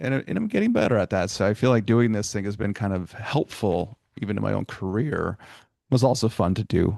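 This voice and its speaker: Against a quiet background, a man with a fairly low pitch and a dark, mellow tone talks at a fairly quick pace. He uses ordinary pitch variation and hardly any pauses. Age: 40s. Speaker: podcast host and college staff. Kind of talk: casual interview chat. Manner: fast.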